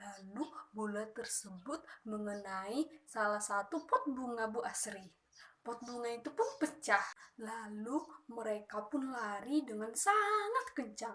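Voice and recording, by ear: A woman speaks at a fairly slow pace with a fairly high pitch, a bright, sharp tone and lively intonation.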